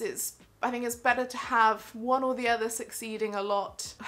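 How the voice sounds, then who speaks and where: With a bright, sharp tone, a woman speaks using fairly even intonation. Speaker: theatre vlogger. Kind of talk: casual vlog chat. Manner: fast.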